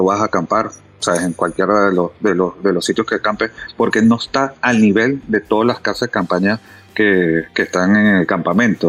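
Music plays in the background while the speaker uses ordinary pitch variation. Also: man. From Venezuela. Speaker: off-road outfitter. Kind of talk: podcast interview. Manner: halting, repeats words.

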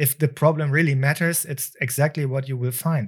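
A speaker with a non-native accent is heard on a very clean recording with a silent background. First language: not English. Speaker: business consultant and podcast co-host. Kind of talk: casual chat. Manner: halting.

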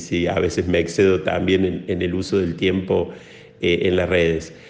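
Amid audible room echo, a man with a very deep, low pitch speaks at a fairly slow pace. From Córdoba, Argentina. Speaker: priest. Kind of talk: interview. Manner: halting.

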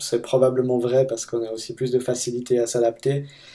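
A man speaks at a moderate pace and medium pitch. His tone is dark and mellow. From Switzerland, Fribourg. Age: 30s. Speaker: immigrant in tech sector. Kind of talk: interview.

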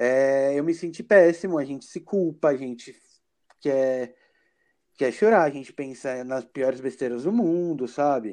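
A man with a dark, mellow tone speaks at a fairly slow pace against a quiet background. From Brazil, São Paulo city. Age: 20s. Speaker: HIV awareness advocate. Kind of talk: casual interview.

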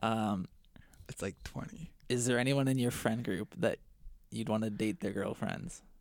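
This man has a plain, everyday voice pitched in the medium range. He talks at a fairly slow pace, and his pitch varies in an ordinary way. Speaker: guest. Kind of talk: casual chat.

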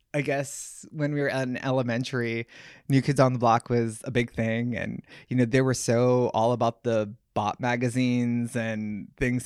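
With a Hawaiian accent, a man speaks at a medium pitch and moderate pace. His intonation stays fairly even, on a very clean recording with a silent background. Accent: Hawaiian-inflected American English. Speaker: interview guest. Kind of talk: casual interview.

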